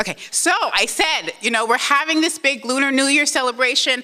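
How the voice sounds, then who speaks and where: Amid noticeable background noise, a woman speaks at a fairly quick pace in an animated tone. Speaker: museum executive. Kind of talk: conference presentation. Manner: fast.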